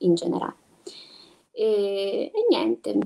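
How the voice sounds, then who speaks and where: This woman has a dark, mellow tone and ordinary pitch variation. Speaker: physical theatre actress and voice actor. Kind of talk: casual chat. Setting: video call.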